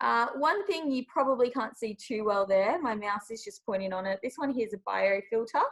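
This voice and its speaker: With an Australian accent, a woman speaks at a moderate pace. Her voice is high and her intonation lively. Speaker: nature park education manager. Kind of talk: presentation on video call.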